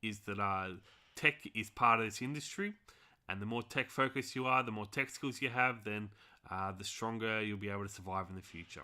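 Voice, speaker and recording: A man with an Australian accent speaks at a fairly quick pace with ordinary pitch variation. His tone is bright and sharp, on a very clean recording with a silent background. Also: fairly low pitch for a man. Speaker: finance tutorial teacher. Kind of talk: tutorial. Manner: casual, hesitant with many fillers.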